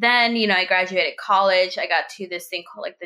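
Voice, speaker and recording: The voice is a normal speaking voice with an American accent. Its intonation stays fairly even. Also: woman. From Texas. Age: 20s. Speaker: journalist and associate producer. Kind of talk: interview.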